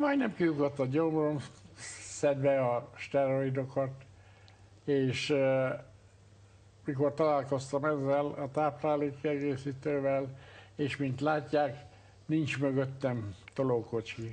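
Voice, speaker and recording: Very slowly and in a monotone, flat intonation, a man speaks with long, frequent pauses. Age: 70s. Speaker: retired doctor, obstetrician. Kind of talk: testimony. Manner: halting, many filler sounds.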